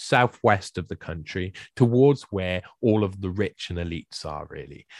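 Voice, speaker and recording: A man with a South Welsh accent, in dry, close sound with no echo, on a very clean recording with a silent background. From South Wales. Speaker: researcher and writer on the World Economic Forum. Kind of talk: podcast interview.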